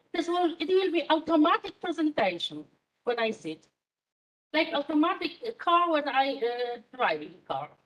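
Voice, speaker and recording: A woman talks with lively intonation in a high-pitched voice. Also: moderate pace. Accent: Polish. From Poland. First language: Polish. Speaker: university lecturer in management. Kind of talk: lecture. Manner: halting, many fillers.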